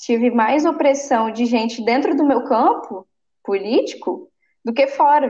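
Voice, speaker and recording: The speaker is a woman with a high-pitched voice. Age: 20s. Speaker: city council candidate. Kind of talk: interview.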